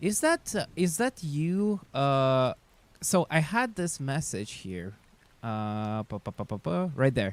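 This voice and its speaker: A man speaks very slowly in a fairly high pitch with very wide pitch swings, the sound dry and close with no echo. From Siberia, Russia. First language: Russian. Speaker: chess streamer. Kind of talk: casual live stream chat. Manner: halting, many fillers.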